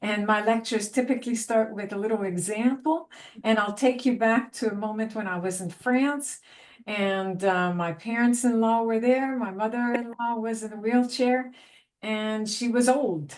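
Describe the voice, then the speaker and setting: In a Quebec accent, a woman speaks at a fairly high pitch. Her pace is moderate, with ordinary pitch variation. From Quebec, south of Montreal. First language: French. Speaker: university lecturer. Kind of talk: panel discussion.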